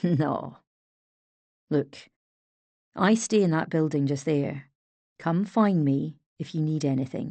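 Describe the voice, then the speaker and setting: Growling in a put-on character voice at a middle pitch, the speaker goes at a fairly slow pace with long, frequent pauses. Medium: read story. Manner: gruff, profane.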